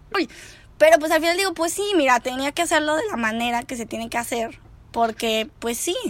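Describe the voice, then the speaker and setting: A woman with a high pitch and lively intonation at a fairly quick pace, in a very clean recording with a silent background. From Mexico. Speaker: podcast host. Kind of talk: casual chat. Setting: recording over a beer with a friend.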